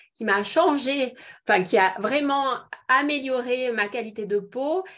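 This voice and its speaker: A woman speaks with a high pitch at a fairly slow pace. Her pitch variation is ordinary. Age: 50s. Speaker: beauty product seller. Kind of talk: online presentation. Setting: video call.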